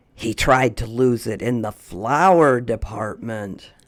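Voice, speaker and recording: Using a put-on character voice, the speaker talks at a fairly slow pace with a low, raspy pitch. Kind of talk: bedtime story. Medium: read story. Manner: clear, gentle, paced read-aloud.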